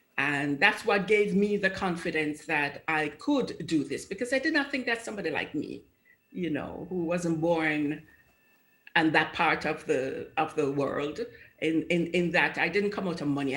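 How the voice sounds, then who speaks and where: A woman with a Jamaican accent speaks at a fairly low pitch with ordinary pitch variation. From Jamaica, Kingston. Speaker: judge. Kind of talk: TV interview. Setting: video call.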